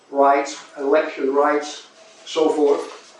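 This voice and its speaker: Noticeable background noise sits under this recording. The man speaking has an American accent. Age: 80s+. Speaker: retired resident giving public comment. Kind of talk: public comment at meeting. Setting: public meeting with audience. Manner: formal.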